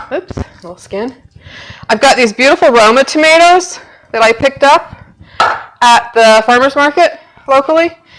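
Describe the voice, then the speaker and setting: The speaker talks loudly at a moderate pace. Long pauses come often. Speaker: home cooking show host. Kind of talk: cooking tutorial. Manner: casual, filler-heavy.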